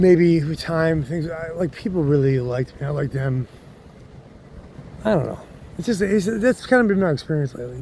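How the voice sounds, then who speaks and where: A man mumbling at a fairly high pitch, with noticeable background noise. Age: 50s. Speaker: chef. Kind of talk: casual talk to camera. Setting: outdoors.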